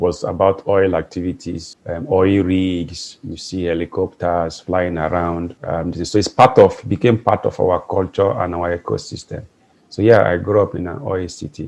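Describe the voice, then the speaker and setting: This man's pitch is very deep and low, with ordinary variation. He speaks at a moderate pace. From Nigeria, Port Harcourt (Rivers State). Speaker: management consultant and entrepreneur. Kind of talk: interview.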